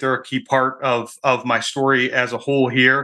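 In a quiet setting, a man at medium pitch speaks with a bright, sharp tone. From Michigan, US Midwest. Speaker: Amazon seller and prep center owner. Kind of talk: interview. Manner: halting, many fillers.

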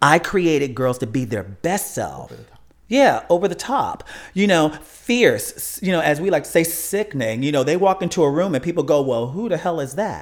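With an American accent and vocal fry, a man speaks at a moderate pace in a fairly high voice that makes very wide pitch swings. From Chicago, US Midwest. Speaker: funeral and cemetery consultant. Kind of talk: interview.

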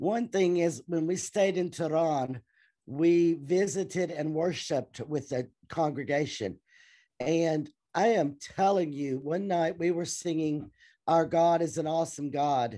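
A woman with a Southern US accent speaks fairly slowly in a fairly low, dark, mellow voice. Her pitch varies in an ordinary way over a quiet background. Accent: Southern American. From US South, Tennessee. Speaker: teacher and churchgoer. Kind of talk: interview testimony.

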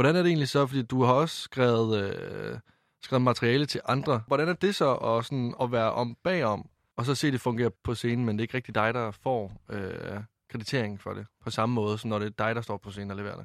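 On a very clean recording with a silent background and a dry, close sound with no echo, a man with a plain, everyday voice speaks at a medium pitch and a fairly quick pace, with ordinary pitch variation. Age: 20s. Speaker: podcast host. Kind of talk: casual interview chat.

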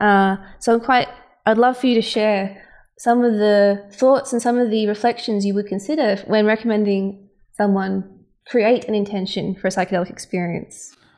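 In a quiet background, a woman with a plain, everyday voice speaks at a moderate pace, her pitch fairly high and her intonation fairly even. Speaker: co-host interviewer. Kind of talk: interview conversation.

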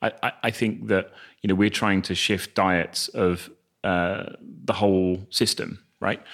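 Delivery is fairly slow, with fairly even intonation. The recording is very clean, with a silent background. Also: man. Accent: southern English. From England, Northampton. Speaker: charity chief executive. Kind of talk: interview conversation. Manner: hesitant, many fillers.

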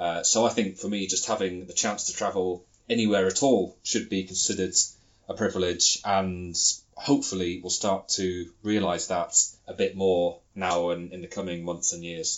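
A man with a very deep, low pitch talks at a moderate pace, his intonation staying fairly even. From Britain. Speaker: travel blogger. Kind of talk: recorded contribution.

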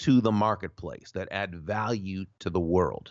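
Fairly low in pitch, a man speaks at a fairly slow pace. His is an unremarkable speaking voice. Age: 50s. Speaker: author and sales speaker. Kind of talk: interview.

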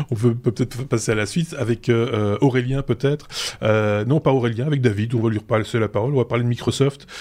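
The tone is dark and mellow. Speech runs at a fairly quick pace with fairly even intonation. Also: man, medium pitch for a man. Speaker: podcast host. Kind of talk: casual chat. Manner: halting.

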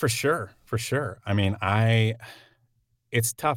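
Speaking at a fairly slow pace, a man with an American accent has an unremarkable speaking voice, fairly low in pitch with ordinary pitch variation, on a very clean recording with a silent background. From Oklahoma. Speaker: actor and comedian. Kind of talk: casual chat. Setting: home sound booth.

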